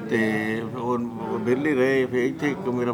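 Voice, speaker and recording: Amid noticeable background noise and audible room echo, a man speaks with fairly even intonation. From Punjab, India (Hoshiarpur district). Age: 70s. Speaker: immigrant farmer. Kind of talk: oral history interview. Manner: soft-spoken; halting. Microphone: too quiet, camera moved closer.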